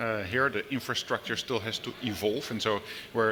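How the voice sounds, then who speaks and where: Over noticeable background noise, a man talks at a moderate pace and a fairly low pitch with fairly even intonation. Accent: Dutch. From Netherlands. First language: Dutch. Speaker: business executive. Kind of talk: panel discussion. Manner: halting, many fillers.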